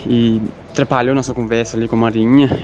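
With music in the background, a man speaks at a moderate pace and medium pitch in a monotone, flat intonation. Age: 20s. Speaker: photographer and parish volunteer. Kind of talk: radio interview.

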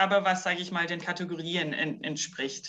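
At a moderate pace, a woman uses an ordinary speaking voice, fairly low in pitch with ordinary pitch variation. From New Zealand. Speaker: business consultant and capoeira teacher. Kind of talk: podcast interview.

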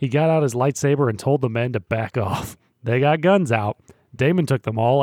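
The passage is read aloud plainly. Its pitch moves in ordinary ways.

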